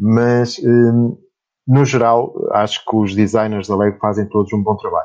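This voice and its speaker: Fairly slow, monotone, flat speech from a man. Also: medium pitch for a man. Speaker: podcast host and LEGO blogger. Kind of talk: casual chat.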